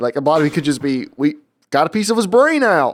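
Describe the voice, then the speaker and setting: Lively intonation runs through this American-accented speech. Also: man. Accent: southern US, mostly suppressed. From US South. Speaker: podcast co-host. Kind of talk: casual chat.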